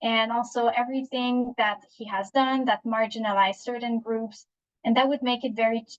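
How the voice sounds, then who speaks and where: Somewhat breathy, a woman speaks with a Quebec accent at a fairly high pitch. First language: French. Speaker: psychologist and webinar speaker. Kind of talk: webinar presentation. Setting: online webinar. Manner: halting, many fillers and restarts.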